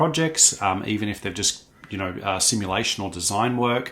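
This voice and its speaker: Using an Australian accent, a man talks at a moderate pace. The recording is very clean, with a silent background. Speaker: product trainer. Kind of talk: tutorial. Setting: office. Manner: frequent fillers (um, uh).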